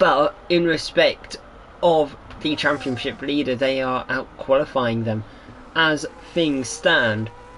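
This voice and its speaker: A man's fairly high voice at a very slow pace, with noticeable background noise. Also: ordinary pitch variation. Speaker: sim racing commentator. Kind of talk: live commentary. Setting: live stream.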